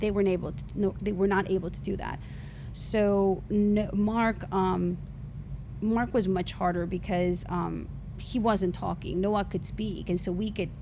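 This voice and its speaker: In an audibly echoing room, a woman speaks fairly slowly with a slight Honduran accent. Her medium-pitched voice stays monotone and flat. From Honduras. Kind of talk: testimony.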